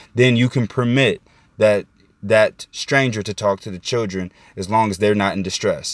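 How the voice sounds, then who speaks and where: On a very clean recording with a silent background and a dry, close sound with no echo, a man with an American accent talks at a moderate pace, fairly low in pitch, with fairly even intonation and big swings in loudness. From Indiana, US Midwest. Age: 20s. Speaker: podcast host. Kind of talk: solo monologue commentary. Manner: calm, measured.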